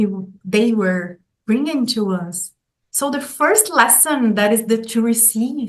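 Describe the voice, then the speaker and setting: A woman with a Brazilian Portuguese accent speaks at a very slow pace. Her pitch is fairly high and varies in an ordinary way. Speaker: golden period educator. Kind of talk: interview. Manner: halting, with fillers and repetitions.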